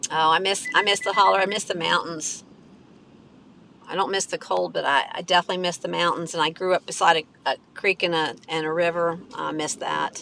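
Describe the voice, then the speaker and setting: An American accent from a woman at a fairly quick pace, fairly even in intonation, over noticeable background noise. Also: fairly low pitch for a woman. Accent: country twang. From West Virginia. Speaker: live streamer. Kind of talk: casual chat. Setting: in a car.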